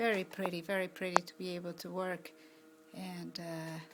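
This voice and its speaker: A soft-spoken woman with a fairly low pitch talks over music in the background. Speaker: amateur videographer. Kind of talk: casual narration while filming. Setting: outdoors.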